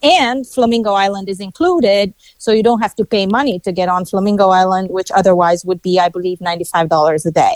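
A woman's medium-pitched voice at a very fast pace, with ordinary pitch variation and hardly any pauses. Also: dry, close sound with no echo. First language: not English. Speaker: travel reviewer guest. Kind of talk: casual interview.

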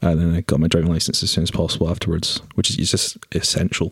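Noticeable background noise sits behind a man whose very deep, low voice stays monotone and flat. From Scotland, Aberdeen. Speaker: film camera trainee. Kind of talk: casual chat.

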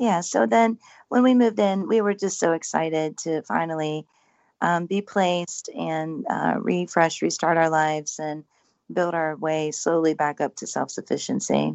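An ordinary speaking voice from a woman, fairly low in pitch, with lively intonation and a moderate pace. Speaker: paranormal house owner. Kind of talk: casual interview chat. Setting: radio call-in, remote.

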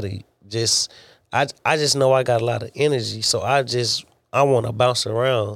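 With an American accent, a man talks at a moderate pace and medium pitch with fairly even intonation in an unremarkable speaking voice, on a very clean recording with a silent background. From Texas. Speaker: military veteran and truck driver. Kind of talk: casual interview.

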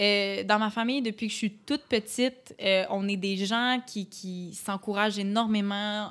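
In a Quebec accent, a woman talks at a moderate pace and medium pitch with fairly even intonation, recorded very cleanly against a silent background. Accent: Québécois French. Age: 20s. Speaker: podcast guest. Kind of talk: casual chat.

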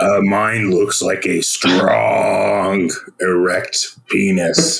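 A man in a put-on character voice at a very slow pace. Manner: dopey, comedic.

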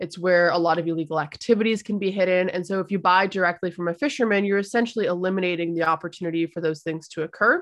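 In a medium pitch, a woman talks at a very fast pace with hardly any pauses. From Canada. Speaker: seafood content creator. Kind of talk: casual interview. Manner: animated.

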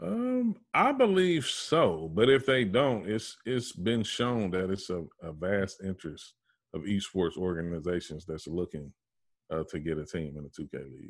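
A man with an American accent, very deep, low pitch, moderate pace, big swings in loudness. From Ohio, US Midwest (Dayton). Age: 40s. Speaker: esports gamer and Navy veteran. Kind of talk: casual interview. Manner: laid-back, flat; halting, many fillers.

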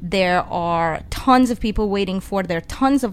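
This woman has an Eastern European accent and a medium pitch. She talks at a moderate pace with ordinary pitch variation. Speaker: travel guest. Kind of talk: casual chat. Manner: nervous.

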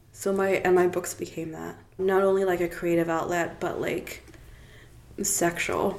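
Against noticeable background noise, a woman with a fairly low pitch speaks fairly slowly in a monotone, flat intonation. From South Africa, Cape Town; later Toronto. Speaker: author and brand ambassador. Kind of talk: casual interview chat.

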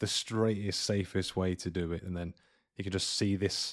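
On a very clean recording with a silent background, a man with a British accent talks at a moderate pace in a very deep, low pitch. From UK. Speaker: podcast host, guest. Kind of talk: casual chat.

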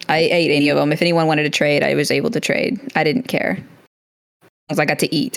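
A woman's very deep, low voice at a very fast pace, with lively intonation and very even loudness. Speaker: military veteran and author. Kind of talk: interview.

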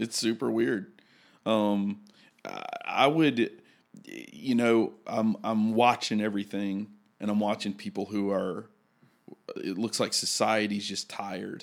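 A man's fairly low voice in a Southern US accent, with fairly even intonation, a fairly slow pace and long, frequent pauses. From Mississippi. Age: 30s. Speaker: pastor. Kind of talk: casual chat. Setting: studio. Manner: halting.

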